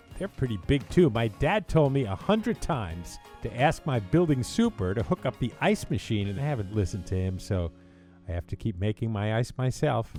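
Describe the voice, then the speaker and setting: Music plays behind a man whose medium-pitched voice has a playful tone and very wide pitch swings. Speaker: radio DJ. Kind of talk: humorous voiceover narration. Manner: playful, joking.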